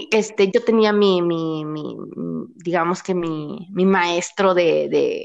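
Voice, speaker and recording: In a Mexican accent, a woman talks very slowly at a medium pitch. The background is quiet. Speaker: podcast co-host. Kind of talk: casual chat. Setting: remote recording. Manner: animated, frequent laughter.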